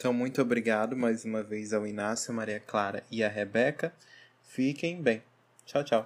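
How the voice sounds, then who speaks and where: This man has an ordinary speaking voice of medium pitch, with ordinary pitch variation at a moderate pace. The recording is very clean, with a silent background. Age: 20s. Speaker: tourism graduate, hotel reservations manager. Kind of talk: research presentation.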